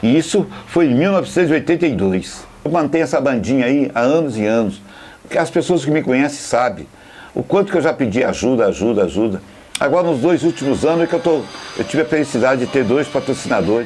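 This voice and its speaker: Over noticeable background noise, a man talks very fast at a fairly high pitch with lively intonation and very even loudness. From Brazil, Volta Redonda (Rio de Janeiro state). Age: 60s. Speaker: football fan, supporters' band leader. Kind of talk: interview testimony.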